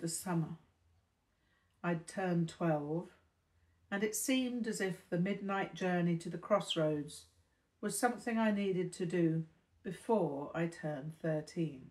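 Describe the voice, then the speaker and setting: A woman with a British accent speaks at a fairly slow pace, with long, frequent pauses. Her fairly low voice is somewhat breathy, with ordinary pitch variation. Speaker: audiobook narrator. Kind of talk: reading aloud a novel, first-person narration. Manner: formal, literary delivery.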